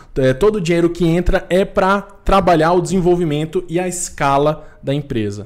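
A man with an ordinary speaking voice talks at a moderate pace, using ordinary pitch variation. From Recife, Brazil. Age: 20s. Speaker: tech entrepreneur. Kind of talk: casual chat.

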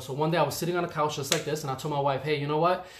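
A man with an American accent and a fairly high pitch speaks at a very fast pace, with audible room echo and noticeable background noise. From New York, the Bronx. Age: 30s. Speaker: chef. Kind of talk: casual chat.

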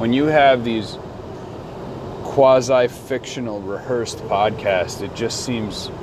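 Noticeable background noise runs under a man speaking at a fairly slow pace and a medium pitch. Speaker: podcast host. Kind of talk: casual solo podcast ramble. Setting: in a car. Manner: rambling, casual, profane.

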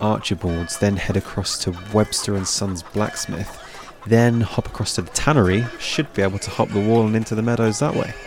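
A man speaks at a fairly quick pace with a fairly low pitch. His pitch varies in an ordinary way, with noticeable background noise. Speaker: street urchin character, young hero. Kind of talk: acted fantasy drama dialogue. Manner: cheeky, quick-witted, sarcastic.

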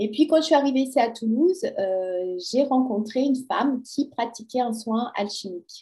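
Her pitch varies in an ordinary way. This woman's voice sits fairly high. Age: 50s. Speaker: personal development coach. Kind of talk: interview. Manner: hesitant, many fillers.

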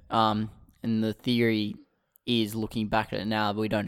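Flat and monotone in intonation, a man speaks in a fairly low pitch with an Australian accent. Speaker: political podcast co-host. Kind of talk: casual chat.

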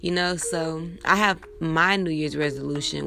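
A woman's speech moves at a moderate pace. Background music accompanies her. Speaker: podcaster. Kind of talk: casual monologue with fervent prayer. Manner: earnest, heartfelt; warm, upbeat, encouraging.

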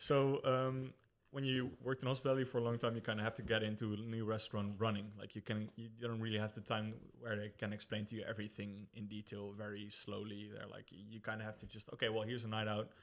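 With a Dutch accent, a man speaks at a very fast pace and fairly low pitch, his intonation monotone and flat, his loudness swinging widely. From Netherlands. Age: 20s. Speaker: brewer, former hospitality worker. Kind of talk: casual chat.

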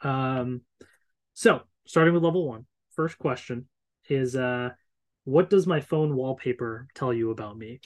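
A man at a medium pitch with an American accent, fairly slow, with long, frequent pauses, big swings in loudness and ordinary pitch variation against a quiet background. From Northern Virginia, US. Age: 30s. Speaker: YouTuber, guest co-host. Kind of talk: casual chat.

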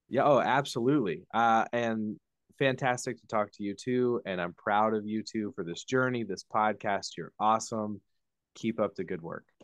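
A man with a medium-pitched, ordinary speaking voice talks in an American accent at a moderate pace with ordinary pitch variation. The sound is dry and close with no echo, over a quiet background. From Indiana. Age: 30s. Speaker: former church worker. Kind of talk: interview.

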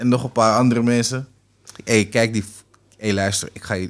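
The voice belongs to a man and sits at a mid-level pitch. It stays monotone and flat throughout. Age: 30s. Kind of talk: casual chat.

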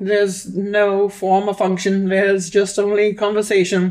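Using a put-on character voice, a man talks at a high pitch with monotone, flat intonation. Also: moderate pace. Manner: stilted, robotic cadence.

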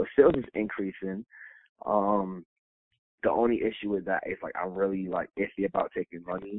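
A man with an ordinary speaking voice talks at a moderate pace, his fairly low pitch following fairly even intonation. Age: 30s. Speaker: personal chef and caterer. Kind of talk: casual interview. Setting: remote recording.

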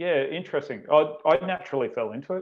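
A man speaks with an Australian accent. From Australia, Canberra. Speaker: strength and conditioning coach. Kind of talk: casual chat.

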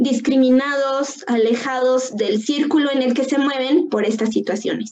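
A woman with a high pitch and a dark, mellow tone speaks at a very slow pace. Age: 20s. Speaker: youth counselor. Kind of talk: casual panel discussion.

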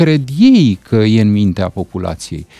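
Dark and mellow in tone, a man's voice swings very widely in pitch, the sound dry and close with no echo. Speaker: political commentator. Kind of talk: radio interview. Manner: calm.

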